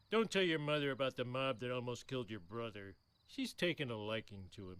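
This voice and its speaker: A man's cartoonish character voice at a medium pitch. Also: fairly quick pace. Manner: dopey.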